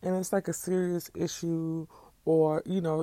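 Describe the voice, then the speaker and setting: In a very clean recording with a silent background, a woman speaks in a dark, mellow tone at a fairly low pitch with fairly even intonation. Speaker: podcast host. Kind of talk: casual commentary monologue.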